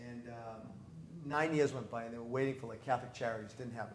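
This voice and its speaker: In a room with audible echo, a man with a Boston accent speaks in a monotone, flat intonation. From US New England, North Reading Massachusetts. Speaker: priest. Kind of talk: interview conversation. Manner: casual, many repetitions.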